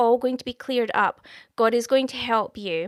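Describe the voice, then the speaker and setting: A woman's high-pitched voice in a Scottish accent, warm in tone yet bright and sharp, with a dry, close sound and no echo. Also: very clean recording, silent background. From Scotland. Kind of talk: live stream chat with viewers, prophecy. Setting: live stream. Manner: casual, warm, conversational.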